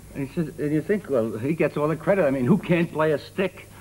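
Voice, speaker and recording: A man with a Brooklyn accent talks at a fairly quick pace. His intonation is lively. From Brooklyn, New York (Brownsville). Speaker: comedian. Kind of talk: talk show comedy chat.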